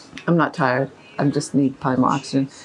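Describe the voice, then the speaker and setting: A woman speaks over noticeable background noise. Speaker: equine bodywork practitioner. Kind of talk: tutorial. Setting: stable with a horse.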